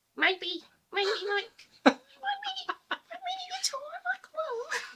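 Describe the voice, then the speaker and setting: A put-on character voice, squeaky and extremely high-pitched, at a fairly slow pace. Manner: cute.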